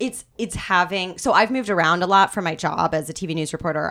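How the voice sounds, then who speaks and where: A woman with a Midwestern accent speaks at a moderate pace in a fairly low pitch with a bright, sharp tone. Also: very clean recording, silent background. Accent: general American, Midwestern. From US Midwest. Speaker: news anchor. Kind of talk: casual chat.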